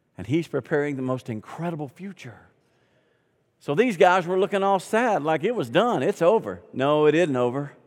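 With a Southern US accent, a man with a fairly high voice talks in an animated tone at a moderate pace, his intonation lively. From US South. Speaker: pastor. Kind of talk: sermon. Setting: church.

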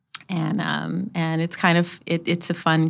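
Captured in a very clean recording with a silent background, a woman speaks with a very deep, low pitch and vocal fry. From Hawaii, then California. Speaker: city public works director. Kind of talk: interview conversation.

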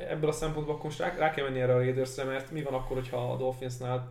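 A man speaks very fast at a medium pitch, in a monotone, flat delivery. Room echo is audible. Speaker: NFL podcast co-host and sports commentator. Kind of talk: casual sports podcast chat. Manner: hesitant, many repeated fillers.

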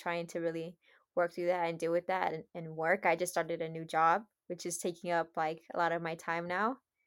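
On a very clean recording with a silent background, a woman talks at a moderate pace in a fairly low pitch. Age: 20s. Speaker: podcast co-host, small business owner. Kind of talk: casual chat.

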